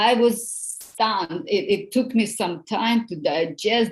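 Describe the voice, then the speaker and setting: Talking fairly slowly with a non-native accent, a woman uses lively intonation. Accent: noticeable foreign. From outside the US. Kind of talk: group discussion.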